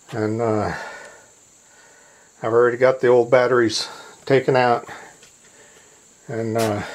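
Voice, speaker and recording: Over noticeable background noise, a man speaks at a fairly slow pace with a medium pitch and monotone, flat intonation. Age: 60s. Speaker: DIY solar hobbyist vlogger. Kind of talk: casual DIY video narration. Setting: home basement. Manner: hesitant, many fillers.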